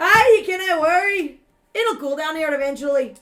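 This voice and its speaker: A woman's put-on character voice, raised and projected, at an extremely high pitch. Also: moderate pace. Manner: joking.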